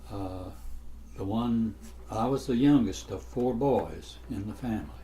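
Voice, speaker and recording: In a room with audible echo, a man with an Appalachian accent speaks fairly slowly in a very deep, low voice. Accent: Appalachian Southern US. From US South, North Carolina mountains. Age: 80s+. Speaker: elderly interviewee. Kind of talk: oral history interview. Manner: halting.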